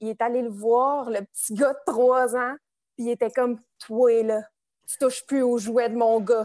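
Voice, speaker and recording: A woman has a normal speaking voice at a fairly high pitch. She speaks at a fairly slow pace, with a dry, close sound and no echo. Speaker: social work student, house cleaner. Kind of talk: casual chat. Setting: video call.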